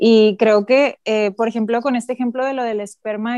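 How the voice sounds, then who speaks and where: A woman speaks at a moderate pace with a fairly high pitch and a dark, mellow tone. Her intonation stays fairly even, and the sound is dry and close with no echo. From northern Mexico. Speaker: doctor. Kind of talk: casual chat.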